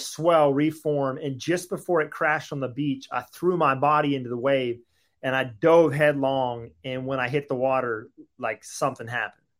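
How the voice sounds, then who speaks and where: An ordinary speaking voice from a man with a fairly high pitch at a moderate pace. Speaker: author and ministry founder. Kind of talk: interview, testimony.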